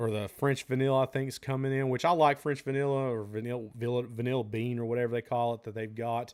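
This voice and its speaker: With a Southern US accent and fairly even intonation, a man talks over a silent background in a very clean recording. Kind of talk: casual live-stream chat answering viewer questions.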